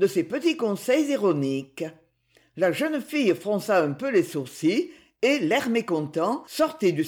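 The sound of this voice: Over a quiet background, someone reads in an unforced voice.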